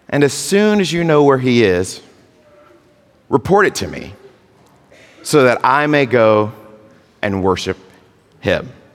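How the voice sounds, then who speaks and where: A man's medium-pitched voice with very wide pitch swings, a fairly slow pace, long, frequent pauses and noticeable background noise. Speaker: pastor. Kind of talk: sermon. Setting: church.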